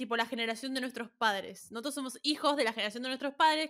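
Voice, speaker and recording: A woman's bright, sharp voice with a Rioplatense accent, a very fast pace, and ordinary pitch variation. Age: 20s. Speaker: podcast co-host. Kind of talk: casual chat.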